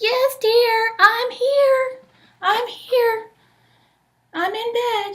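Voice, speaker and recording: In a put-on character voice, a woman speaks at a very slow pace with an extremely high, squeaky pitch and long, frequent pauses. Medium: read story. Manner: sly.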